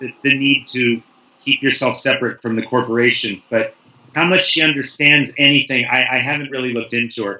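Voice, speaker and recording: A man's medium-pitched voice with fairly even intonation at a fairly quick pace, over noticeable background noise. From US, San Francisco. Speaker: writer, panel guest. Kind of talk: casual panel discussion.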